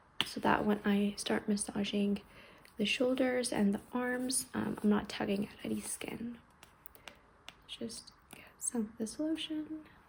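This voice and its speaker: A fairly high-pitched woman speaks at a fairly slow pace in a calm, gentle tone, with ordinary pitch variation. Her pauses are long and frequent, and background noise is noticeable. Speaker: ASMR creator. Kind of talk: ASMR massage roleplay. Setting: recorded without an external mic, with heater noise in the background. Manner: soft-spoken, calm, gentle.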